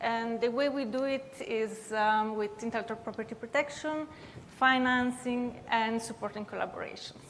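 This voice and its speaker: A woman with an Italian-Swiss accent speaks at a moderate pace in a fairly high pitch, her intonation fairly even. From Italian-speaking Switzerland. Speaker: university tech transfer head, panelist. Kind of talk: panel discussion.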